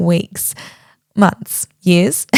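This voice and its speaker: A woman with an Australian accent speaks in a dark, mellow tone, the sound dry and close with no echo in a very clean recording with a silent background. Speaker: podcast host. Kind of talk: podcast intro, casual chat. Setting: home recording on bedroom floor.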